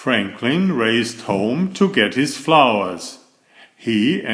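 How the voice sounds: Natural reading voice throughout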